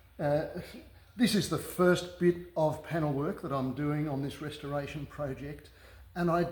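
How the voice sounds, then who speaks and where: With an Australian accent, a man speaks at a moderate pace and fairly high pitch, somewhat breathy, with fairly even intonation, long, frequent pauses and audible room echo. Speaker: car restorer. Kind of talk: workshop tutorial. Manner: halting, many fillers.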